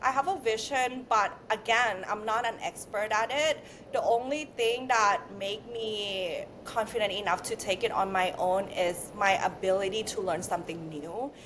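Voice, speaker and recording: A woman's fairly high voice at a moderate pace, with a non-native accent. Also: ordinary pitch variation. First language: not English. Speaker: beauty brand founder. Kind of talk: interview.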